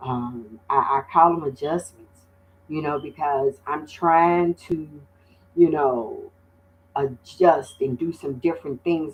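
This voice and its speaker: A woman's very deep, low-pitched voice. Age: 60s. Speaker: livestream host. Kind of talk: livestream monologue. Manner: halting, many fillers.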